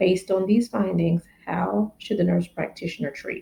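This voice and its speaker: This woman's voice has a dark, mellow tone at medium pitch. Vocal fry runs through it. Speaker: family nurse practitioner. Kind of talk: educational exam-prep teaching to camera. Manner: casual, friendly.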